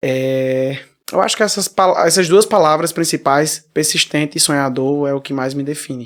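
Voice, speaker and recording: A plain, everyday voice belongs to a man pitched fairly high. He keeps a moderate pace and fairly even intonation. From Brazil, Paraíba (Damião). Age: 20s. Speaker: singer. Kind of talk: interview.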